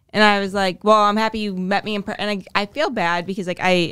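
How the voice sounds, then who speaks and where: A woman at a medium pitch talks at a fairly quick pace with fairly even intonation, in a very clean recording with a silent background. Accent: Boston. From Boston, East Boston. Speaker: host's girlfriend. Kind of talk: casual chat.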